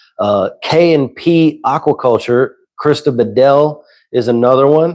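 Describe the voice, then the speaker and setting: On a very clean recording with a silent background, a man with a Southern US accent talks fairly slowly at a fairly high pitch, with ordinary pitch variation. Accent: Southern twang. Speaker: saltwater aquarium content creator. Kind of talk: live stream chat. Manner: casual.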